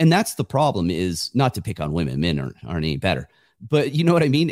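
A man with an American accent talks at a fairly quick pace, with very wide pitch swings and vocal fry. The recording is very clean, with a silent background and a dry, close sound with no echo. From California (small rural town). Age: 50s. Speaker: author and entrepreneur, former federal agent. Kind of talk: podcast interview.

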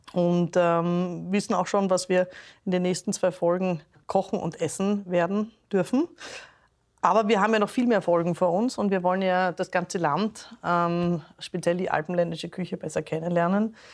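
A woman at medium pitch speaks in an unremarkable speaking voice against a quiet background. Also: fairly even intonation, moderate pace. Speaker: podcast host. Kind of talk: casual chat. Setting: restaurant.

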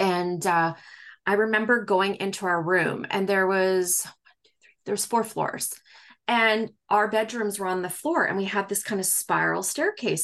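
A woman speaks in a normal speaking voice at a moderate pace against a quiet background. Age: 40s. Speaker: psychic medium. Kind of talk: casual interview conversation.

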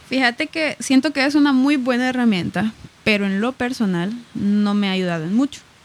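A woman speaks at a fairly high pitch. Noticeable background noise sits behind her voice. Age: 20s (22). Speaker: student pilot. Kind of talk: casual interview.

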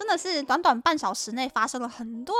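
Over background music, the voice swings very widely in pitch in a Taiwanese accent. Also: woman. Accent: Taiwanese Mandarin. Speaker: podcast host. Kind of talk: casual travel monologue.

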